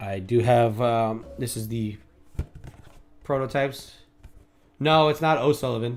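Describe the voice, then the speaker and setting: A man with an American accent talks at a medium pitch and a fairly slow pace, with ordinary pitch variation and long, frequent pauses. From New York City. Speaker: day trader, live streamer, former police officer. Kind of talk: live trading stream chat.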